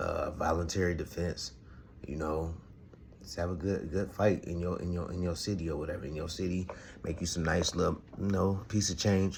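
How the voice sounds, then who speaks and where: A man with a very deep, low pitch speaks somewhat breathily at a moderate pace, his intonation fairly even, with audible room echo. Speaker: boxing podcast host. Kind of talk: casual commentary monologue. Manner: halting, stuttering.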